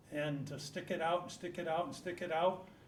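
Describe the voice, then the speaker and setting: With an American accent, a man talks at a fairly quick pace in a monotone, flat intonation, with audible room echo and noticeable background noise. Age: 70s. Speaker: local business owner. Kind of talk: acceptance remarks at a public meeting. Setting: town hall meeting room.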